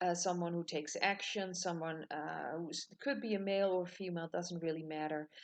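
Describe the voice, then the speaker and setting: A woman with a Dutch accent talks at a moderate pace in a fairly low voice with fairly even intonation, the background quiet. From Netherlands. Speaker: tarot reader. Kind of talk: tutorial. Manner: halting.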